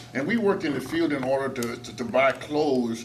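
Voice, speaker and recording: Noticeable background noise and audible room echo surround a man who talks fairly quickly with an American accent. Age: 80s+. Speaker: talk show guest. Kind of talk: casual chat.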